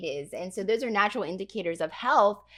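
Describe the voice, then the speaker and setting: Medium in pitch with ordinary pitch variation, a woman speaks in an ordinary speaking voice. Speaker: pastor and podcast host. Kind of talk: podcast interview questions.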